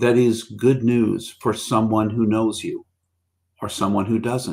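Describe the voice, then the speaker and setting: At a fairly slow pace and a medium pitch, a man talks with fairly even intonation on a very clean recording with a silent background. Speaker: pastor. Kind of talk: recorded devotional talk. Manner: calm, measured; some hesitations.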